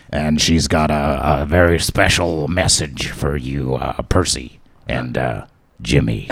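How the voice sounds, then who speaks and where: In a put-on character voice, a man talks at a fairly slow pace with a very deep, low pitch. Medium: actual play. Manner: casual, rambling.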